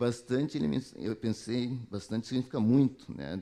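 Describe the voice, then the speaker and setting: Here a man talks at a fairly quick pace in a dark, mellow tone. His pitch variation is ordinary. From southern Brazil, Porto Alegre. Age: 60s. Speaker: alumnus speaker, health professional. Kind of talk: talk to students. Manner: halting, many self-corrections.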